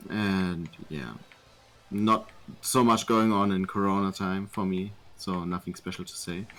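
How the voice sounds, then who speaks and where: With a German accent, a man speaks fairly slowly in a fairly low voice, his intonation fairly even but his loudness swinging widely. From Germany. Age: 20s. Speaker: gamer. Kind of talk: interview. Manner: halting.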